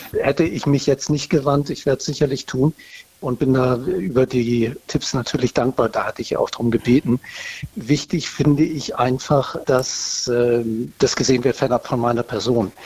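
There is noticeable background noise, and the sound is dry and close with no echo. A man of medium pitch talks at a moderate pace with fairly even intonation. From northern Germany. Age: 50s. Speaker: caller, army reservist. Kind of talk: phone interview. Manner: hesitant with filler sounds.

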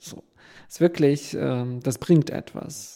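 A man with a Ukrainian accent speaks at a fairly slow pace and medium pitch, with ordinary pitch variation. His tone is dark and mellow, and the recording is very clean, with a silent background. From western Ukraine. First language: Ukrainian (speaking German). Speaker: documentary filmmaker. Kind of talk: panel interview before live audience. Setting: theater stage with audience.

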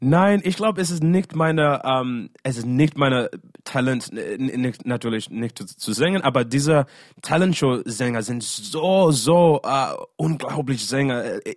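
Fairly slow and with lively intonation, a man with an English accent speaks at a fairly high pitch. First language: English (speaking German). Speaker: singer. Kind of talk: casual interview. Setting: video call. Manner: halting.

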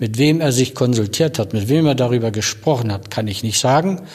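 Here a man speaks at a moderate pace. His voice is somewhat breathy. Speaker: former police general, eyewitness. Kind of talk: recalled interview testimony.

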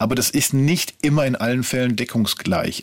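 A man's plain, everyday voice, medium in pitch, at a fairly quick pace. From Ruhr area, western Germany. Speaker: TV documentary writer. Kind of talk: interview. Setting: studio.

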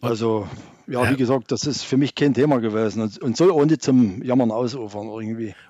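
Fairly quickly, a man speaks in a dark, mellow voice of medium pitch with ordinary pitch variation. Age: 60s. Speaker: farmer. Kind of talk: radio talk show discussion.

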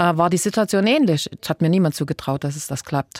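A woman with a normal speaking voice and a fairly low pitch is heard in a very clean recording, silent in the background, with a dry, close sound and no echo. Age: 60s. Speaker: state politician. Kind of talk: interview.

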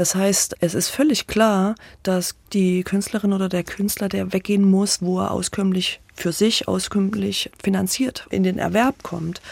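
With a normal speaking voice, the talker moves at a fairly slow pace with fairly even intonation and hardly any pauses, in a dry, close sound with no echo. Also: woman, medium pitch for a woman. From Thuringia, Weimar. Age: 50s. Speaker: theatre association director. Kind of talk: interview.

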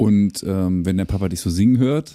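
A dark, mellow tone at a moderate pace, dry and close with no echo, on a very clean recording with a silent background. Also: man. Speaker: music podcast host. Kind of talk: casual interview chat. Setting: home rehearsal room, basement.

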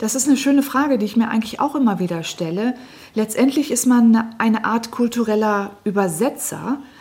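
A woman's voice with ordinary pitch variation comes through noticeable background noise. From northern Germany, Lower Saxony (Lüneburg Heath). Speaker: historian. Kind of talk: radio interview. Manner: measured, with filler hesitations.

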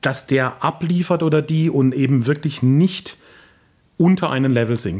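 A man at a fairly high pitch, a normal speaking voice delivered at a fairly slow pace. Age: 50s. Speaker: opera tenor and voice professor. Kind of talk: interview.

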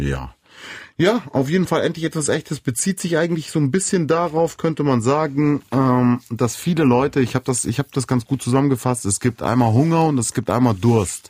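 A man with a fairly high voice speaks at a moderate pace, his loudness very even and his pitch varying in an ordinary way, in a dry, close sound with no echo. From Munich, Bavaria. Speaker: rapper and songwriter. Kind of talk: casual interview. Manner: hesitant with many fillers.

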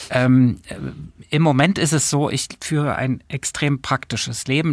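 Recorded very cleanly against a silent background, with a dry, close sound and no echo, a man speaks at a fairly slow pace with fairly even intonation. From Saxony, Germany (Döbeln). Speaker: cultural manager. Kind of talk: interview. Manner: hesitant, many fillers.

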